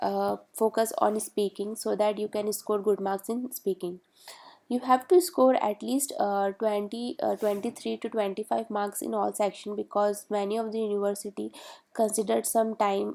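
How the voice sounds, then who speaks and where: The speaker's dark, mellow tone carries ordinary pitch variation at a moderate pace. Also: woman. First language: not English. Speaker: study-abroad advice youtuber. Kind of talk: tutorial. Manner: halting, many fillers.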